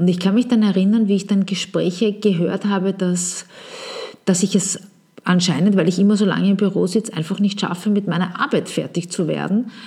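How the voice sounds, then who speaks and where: Over noticeable background noise, a woman speaks at a medium pitch and a fairly quick pace, her intonation fairly even and her loudness very even. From Vienna, Austria. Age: 40s. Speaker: podcast host, marketing consultant. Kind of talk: solo podcast monologue.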